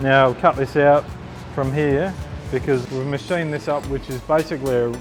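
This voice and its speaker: Music plays in the background while a man speaks at medium pitch and a moderate pace with fairly even intonation. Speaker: motorcycle builder. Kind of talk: casual workshop talk to camera.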